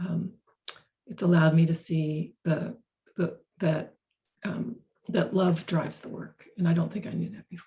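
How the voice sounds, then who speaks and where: A somewhat breathy woman with a dark, mellow tone and fairly low pitch speaks at a fairly slow pace with fairly even intonation, big swings in loudness, and long, frequent pauses. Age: 60s. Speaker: author and organizational consultant. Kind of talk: webinar conversation. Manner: halting, with many repetitions.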